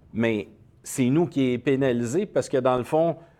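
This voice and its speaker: A man with a Quebec accent against a quiet background. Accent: Québécois French. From Quebec, Montreal. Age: 50s. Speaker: entrepreneur. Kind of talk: interview.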